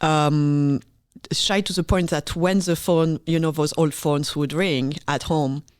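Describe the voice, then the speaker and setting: On a very clean recording with a silent background, a woman with a French accent speaks fairly slowly in a very deep, low voice with fairly even intonation. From France, Paris. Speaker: orchestra conductor. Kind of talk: interview.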